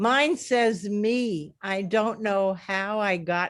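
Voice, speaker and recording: Her voice moves with ordinary pitch variation as the woman speaks. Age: 80s+. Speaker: workshop participant. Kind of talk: casual chat.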